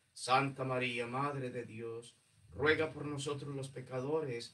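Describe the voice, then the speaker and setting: Fairly slow in tempo, the delivery keeps a fairly even intonation. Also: man. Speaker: priest. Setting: church. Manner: solemn, pleading, fervent, reverent cadence with rhythmic repeated invocations. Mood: solemn, devotional. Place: church. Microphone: camera far.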